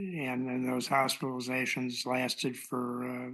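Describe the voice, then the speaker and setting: The man's voice is medium in pitch and monotone, flat in intonation. He speaks at a fairly slow pace against a quiet background. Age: 70s. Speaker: patient with lung disease, retired lawyer. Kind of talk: personal testimony. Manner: halting, many fillers.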